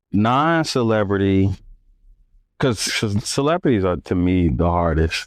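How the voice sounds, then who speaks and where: In a quiet background, a man with an American accent talks at a fairly slow pace in a very deep, low pitch. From US Midwest, Northwest Indiana. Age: 30s. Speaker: photographer. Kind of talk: casual interview chat. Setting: live stream.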